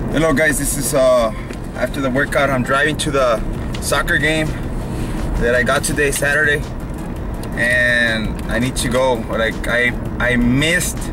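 Noticeable background noise runs through this recording of a man. He leaves long, frequent pauses. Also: moderate pace, dry sound with no echo. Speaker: fitness vlogger. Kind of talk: casual vlog chat. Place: car. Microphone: phone near.

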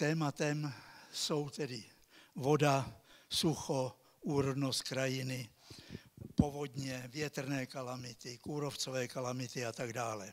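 Fairly even intonation runs through a man's medium-pitched speech. His pace is very slow. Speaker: ecology professor. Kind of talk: lecture. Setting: stage with audience.

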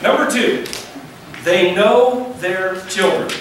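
A man's lively intonation amid strong room echo and light background noise. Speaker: pastor. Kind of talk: sermon. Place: church.

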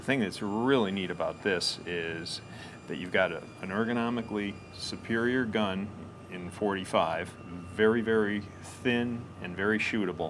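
The delivery has fairly even intonation at a moderate pace. Background noise is noticeable. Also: man, fairly low pitch for a man. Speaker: presenter. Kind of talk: product demonstration. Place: office.

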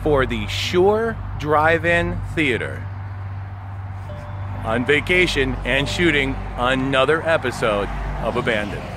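A man's voice at a fairly slow pace with long, frequent pauses and very wide pitch swings, dry with no echo, over background music. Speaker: video host exploring abandoned places. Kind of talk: casual vlog chat. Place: forest. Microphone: phone near.

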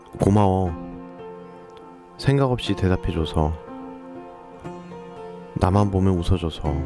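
Music plays in the background as a man speaks at a very slow pace in a very deep, low pitch with ordinary pitch variation. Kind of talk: poetry reading (video poem narration). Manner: slow, soft, sentimental.

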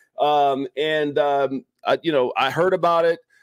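A man speaks with fairly even intonation. The sound is dry with no echo, over a quiet background. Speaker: show host. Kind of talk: casual podcast chat. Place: home room.

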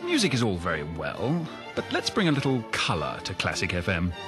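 With clear music playing behind him and a dry sound with no echo, a man of medium pitch speaks at a fairly quick pace, his pitch swinging very widely. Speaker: voice actor. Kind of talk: commercial read. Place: studio.

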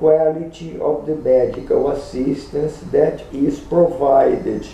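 A man speaks with a non-native accent and a high pitch. Audible room echo surrounds his voice. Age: 60s. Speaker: gynecologist. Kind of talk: opinion talk to camera. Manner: slow, deliberate. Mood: serious, critical. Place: home room. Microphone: webcam.

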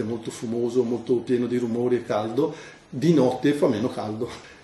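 A man talks with fairly even intonation. Behind him, background noise is noticeable. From northern Italy, Bergamo area (Dalmine). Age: 50s. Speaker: retired factory worker. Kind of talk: interview. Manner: halting.

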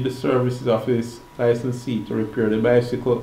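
Through audible room echo, a man speaks with monotone, flat intonation. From Jamaica. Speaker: non-lawyer explaining laws online. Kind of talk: reading aloud.

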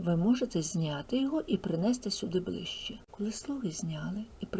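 A natural reading voice carries lively intonation.

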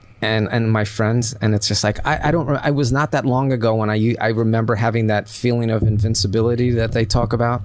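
A man speaking at a fairly quick pace with hardly any pauses and very even loudness, over noticeable background noise. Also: medium pitch for a man, fairly even intonation. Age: 50s. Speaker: action figure artist and adult film performer. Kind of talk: casual chat.

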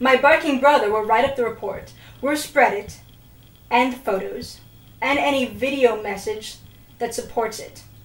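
Audible room echo surrounds a woman's high-pitched voice, which moves at a moderate pace with ordinary pitch variation. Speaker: actor in amateur drama. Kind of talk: scripted dialogue. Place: home room.

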